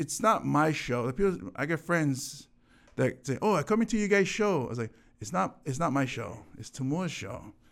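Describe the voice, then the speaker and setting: Over a silent background in a very clean recording, a man with a fairly high pitch and vocal fry talks at a moderate pace with very wide pitch swings. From Hawaii, Oahu (Pearl Ridge/Aiea). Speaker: comedian. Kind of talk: casual chat. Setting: studio.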